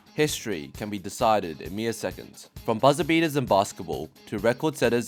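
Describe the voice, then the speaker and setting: Music plays behind a man who speaks at a fairly quick pace with a fairly low pitch and lively intonation. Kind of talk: esports history narration. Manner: casual, humorous.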